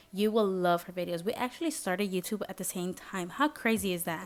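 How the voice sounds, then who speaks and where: Ordinary pitch variation in a Spanish accent, with music in the background. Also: woman. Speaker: lifestyle vlogger. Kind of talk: vlog voiceover narration.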